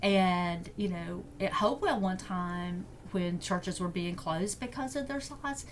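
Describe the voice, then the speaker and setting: A woman with an Alabama accent, at a fairly slow pace, with lively intonation. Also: medium pitch for a woman. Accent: Southern US (Alabama). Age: 60s. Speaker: deacon. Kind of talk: podcast interview. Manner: halting.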